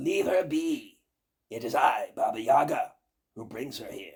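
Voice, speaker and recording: A man puts on a character voice. It comes out raspy and shrill. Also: moderate pace. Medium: read story. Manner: menacing.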